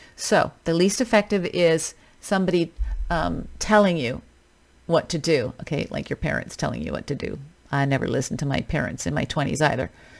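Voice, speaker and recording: A fairly quick-paced woman with a Western Canadian accent. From Canada, British Columbia. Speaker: fitness coach podcast host. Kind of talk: solo podcast monologue. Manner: casual, conversational.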